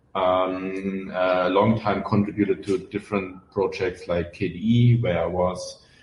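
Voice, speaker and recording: Speech comes at a fairly slow pace in a German accent with hardly any pauses. The intonation is monotone and flat. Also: man, very deep, low pitch for a man. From Germany. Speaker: open source software founder. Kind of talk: podcast interview. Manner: hesitant with many fillers.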